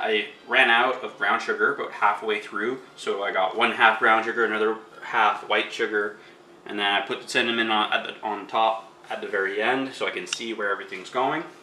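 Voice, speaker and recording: A man at a moderate pace with fairly even intonation, plus light background noise and audible room echo. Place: kitchen. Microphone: phone near.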